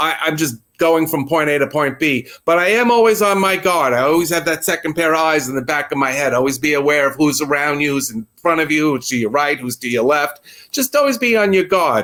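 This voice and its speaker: Speaking with a New York accent, a man has a bright, sharp tone and a fairly high pitch. He moves at a fairly quick pace with lively intonation. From New York City. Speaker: New York local interviewed about the subway. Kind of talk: casual interview.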